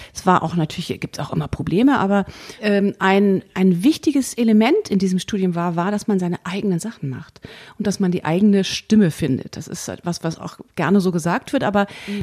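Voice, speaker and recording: A woman speaks at a fairly quick pace with ordinary pitch variation. Hers is an ordinary speaking voice at medium pitch. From Germany, Bonn. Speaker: jazz pianist and composer. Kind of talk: interview.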